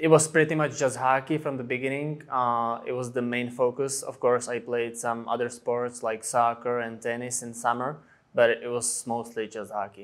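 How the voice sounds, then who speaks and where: The intonation is monotone and flat. There are hardly any pauses. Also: man, medium pitch for a man, moderate pace, very clean recording, silent background. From Czech Republic, small town. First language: Czech. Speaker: ice hockey player. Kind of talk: interview. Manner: hesitant, many fillers.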